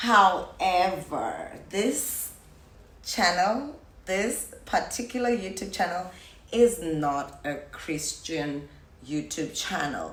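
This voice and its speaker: A woman with a medium-pitched voice speaks at a very slow pace amid audible room echo. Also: lively intonation. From South Africa. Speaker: YouTuber. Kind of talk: casual vlog talk to viewers.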